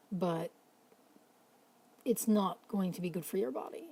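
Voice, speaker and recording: Over noticeable background noise, a woman at a medium pitch speaks at a moderate pace with ordinary pitch variation. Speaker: mental health vlogger. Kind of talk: casual late-night talk to camera. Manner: rambling, pausing, stuttering.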